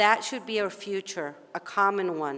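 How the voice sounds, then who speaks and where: The speaker has an Argentine accent and ordinary pitch variation. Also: woman. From Argentina. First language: Spanish. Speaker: policy advocate and session moderator. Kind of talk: conference opening speech. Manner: formal.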